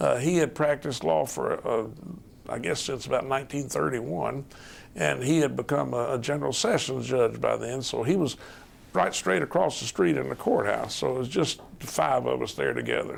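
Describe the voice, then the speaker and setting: A man with a Southern accent talks at a moderate pace. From US South, Chattanooga, Tennessee. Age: 70s. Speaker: retired state supreme court justice. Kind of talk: oral history interview.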